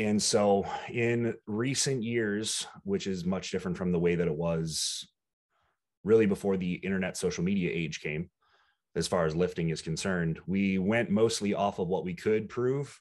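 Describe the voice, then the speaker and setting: A man's ordinary speaking voice, fairly low in pitch with ordinary pitch variation, at a moderate pace against a quiet background. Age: 20s. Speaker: bodybuilding coach. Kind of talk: casual chat.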